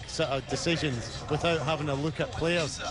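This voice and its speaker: A man's fairly high voice with a Scottish accent, fairly quick, with ordinary pitch variation, audible room echo and noticeable background noise. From Scotland. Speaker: football coach. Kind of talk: interview. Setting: stadium. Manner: halting.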